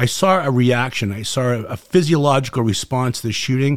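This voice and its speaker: In a Boston accent, a man talks at medium pitch with ordinary pitch variation. The sound is dry and close, with no echo. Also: very clean recording, silent background. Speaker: former special forces medic, product maker. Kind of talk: casual chat. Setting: outdoors. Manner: fast talker; passionate.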